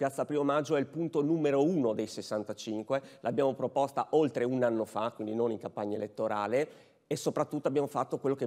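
Against a quiet background, a man talks at a fairly quick pace with ordinary pitch variation. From Udine, Friuli; Friuli. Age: 40s. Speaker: mayoral candidate; candidate. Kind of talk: political debate. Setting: stage with audience. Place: stage. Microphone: lapel.

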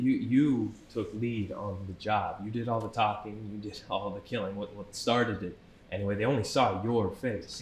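A man with a fairly low, somewhat breathy voice speaks at a moderate pace with fairly even intonation, amid audible room echo and light background noise. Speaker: actor in a crime drama scene. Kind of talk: scripted dramatic dialogue. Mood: tense, arguing, exasperated. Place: cafe.

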